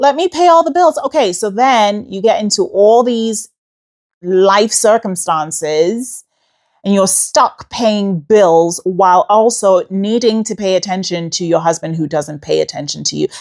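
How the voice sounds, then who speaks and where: An animated woman's medium-pitched voice with an American accent, very wide pitch swings and a fairly slow pace, on a very clean recording with a silent background. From Queens, New York City. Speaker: podcast host, lawyer. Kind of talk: casual chat.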